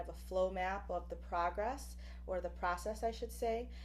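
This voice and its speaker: A woman talks at a moderate pace, with audible echo from the room. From Buffalo, New York, with time in Puerto Rico. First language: Spanish. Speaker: professor. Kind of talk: lecture. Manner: frequent fillers (um, uh).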